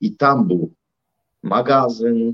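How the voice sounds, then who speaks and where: Very slowly, a man delivers his words. The rise and fall of his pitch is ordinary. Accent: Russian. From Russia. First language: Russian (speaking Polish). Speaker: civic activist and entrepreneur. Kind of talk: interview.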